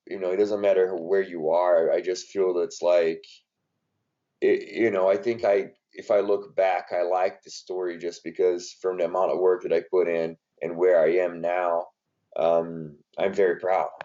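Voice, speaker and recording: A man speaks at a moderate pace with a Brazilian Portuguese accent. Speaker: strength and conditioning coach. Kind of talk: podcast interview. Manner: hesitant, many fillers.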